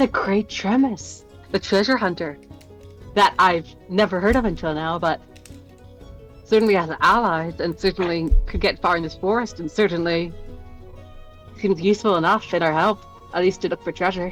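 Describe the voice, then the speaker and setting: A loud, breathy female-sounding voice at medium pitch plays a put-on character at a moderate pace, with long, frequent pauses. Music plays in the background. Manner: loud and breathy, meant to be overheard.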